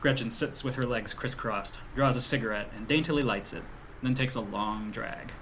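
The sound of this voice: The reading voice is unforced and carries ordinary pitch variation.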